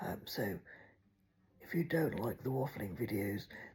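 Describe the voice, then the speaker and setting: The speaker has an English accent. The pace is moderate. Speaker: vlogger. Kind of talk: casual chat. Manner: rambling, hesitant with many ums.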